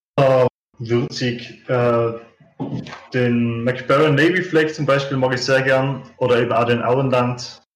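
Speaking very slowly in a Tyrolean accent, a man keeps a medium pitch and fairly even intonation. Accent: Tyrolean Austrian German. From Austria, Tyrol. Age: 30s. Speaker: pipe maker. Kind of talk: interview.

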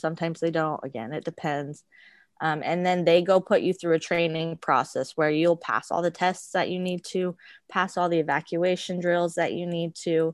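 A woman with a plain, everyday voice, fairly low-pitched, with an American accent, at a moderate pace, dry and close with no echo, over a quiet background. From Arizona, US. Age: 20s. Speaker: flight attendant. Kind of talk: interview.

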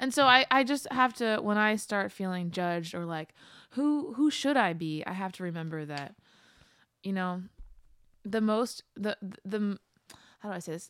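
With a slight Philadelphia accent, a woman speaks at a medium pitch and moderate pace, her intonation lively and her speech marked by long, frequent pauses, on a very clean recording with a silent background. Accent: slight Philadelphia-area. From Pennsylvania, outside Philadelphia. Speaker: singer-songwriter. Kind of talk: casual interview chat.

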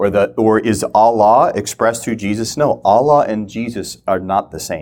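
A man with an American accent talks at a fairly low pitch and a moderate pace. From Minnesota. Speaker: ministry teacher. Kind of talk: teaching talk. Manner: halting.

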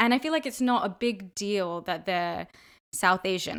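Here a woman talks at a fairly quick pace and medium pitch. The recording is very clean, with a silent background. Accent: American. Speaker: podcast host. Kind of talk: interview.

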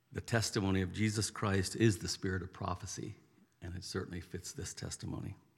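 A man speaks at a fairly quick pace with a very deep, low pitch and a somewhat breathy voice. His loudness swings widely while his intonation stays fairly even. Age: old. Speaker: church member introducing a guest. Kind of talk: spoken introduction in church.

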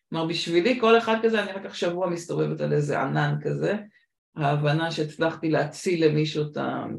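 In an English accent, a woman speaks at a moderate pace in a very deep, low voice with vocal fry and ordinary pitch variation, audible room echo around her. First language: English (speaking Hebrew). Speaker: podcast host, recruitment consultant. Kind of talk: interview (being interviewed).

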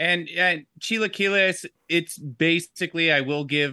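Against a quiet background, a man with an American accent talks with ordinary pitch variation. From Georgia, US South. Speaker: guest podcast co-host. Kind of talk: casual banter, comedy podcast. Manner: profane, animated.

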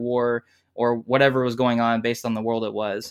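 A man's monotone, flat delivery in an American accent. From South Carolina. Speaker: tabletop game designer. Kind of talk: interview. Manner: halting.

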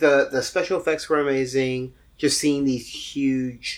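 At a fairly slow pace, a man talks in a normal speaking voice. His pitch is fairly high. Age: middle-aged. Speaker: podcast host and post-production supervisor. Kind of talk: casual chat.

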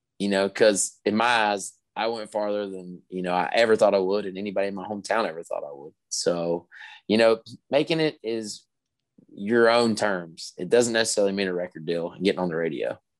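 Speaking at a fairly quick pace with an American accent, a man has an ordinary speaking voice, a fairly low pitch with ordinary pitch variation, and big swings in loudness over a quiet background. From West Virginia. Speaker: country singer-songwriter. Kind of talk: casual interview.

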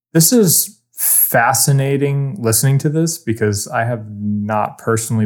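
At a moderate pace, a man speaks in an unremarkable speaking voice with ordinary pitch variation, in a very clean recording with a silent background. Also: hardly any pauses. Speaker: sound engineer and podcast co-host. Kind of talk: casual chat.

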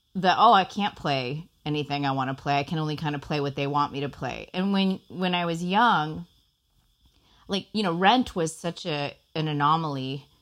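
Here is a woman with an American accent. She speaks at a moderate pace. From US, childhood partly in Costa Rica. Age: 30s. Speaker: actress. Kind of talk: interview. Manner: halting, many fillers.

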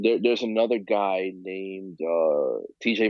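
A man with a New York accent and a fairly low pitch. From New York, Queens. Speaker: figure photographer and DJ. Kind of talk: casual chat.

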